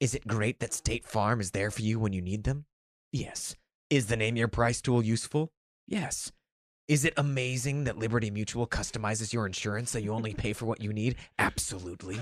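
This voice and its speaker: A man's put-on character voice at medium pitch, fairly quick in pace. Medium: read story. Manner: stern, lecturing, self-righteous.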